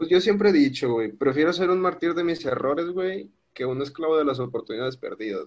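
Barely pausing, a man speaks at a fairly quick pace with a fairly high pitch, lively intonation and big swings in loudness. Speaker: podcast guest. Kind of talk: casual chat.

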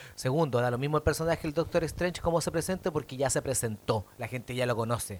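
In a Chilean accent, a man speaks at a fairly high pitch. His pitch variation is ordinary. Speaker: comedian. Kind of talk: casual debate.

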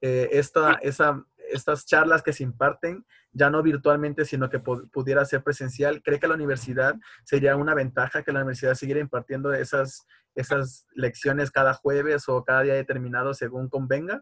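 Here a man speaks with a fairly high pitch in a monotone, flat intonation. The sound is dry and close, with no echo. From Tabasco, Mexico. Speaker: university student interviewer. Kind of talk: interview.

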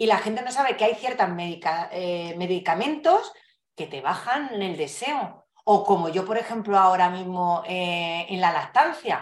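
An unremarkable speaking voice from a woman at medium pitch, with lively intonation, big swings in loudness and a fairly slow pace. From Spain, Madrid. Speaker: couples therapist. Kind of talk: casual interview.

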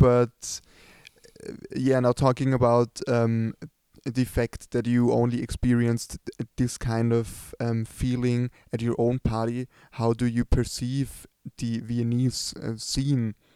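Dry and close with no echo, a man's medium-pitched voice carries a German accent and a dark, mellow tone, moving at a very slow pace in a flat monotone. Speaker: podcast host. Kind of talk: casual interview. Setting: empty club. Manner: hesitant, many fillers.

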